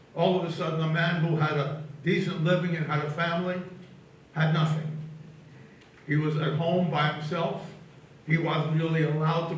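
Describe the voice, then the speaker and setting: A man with a fairly high voice speaks at a moderate pace in a flat monotone, leaving long, frequent pauses. Audible room echo and noticeable background noise surround him. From Austria, Vienna. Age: 90s. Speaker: Holocaust survivor. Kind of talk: testimony.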